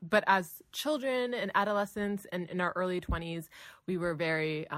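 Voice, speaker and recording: In a Southern California accent, a woman talks with lively intonation. Her pace is moderate. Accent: valley girl. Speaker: podcast host.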